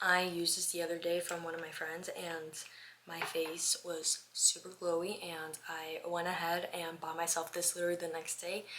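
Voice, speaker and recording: A woman's fairly low, monotone voice at a moderate pace, flat in intonation, with noticeable background noise. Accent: American. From Miami, Florida. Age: 20s. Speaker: lifestyle vlogger. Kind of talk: casual get-ready-with-me chat.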